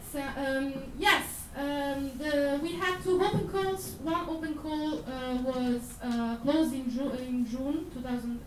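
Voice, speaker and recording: A high-pitched woman's voice with an Italian accent and lively intonation at a fairly slow pace, amid noticeable background noise and audible room echo. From Italy. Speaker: accelerator representative, panelist. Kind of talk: panel discussion. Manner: halting, many fillers.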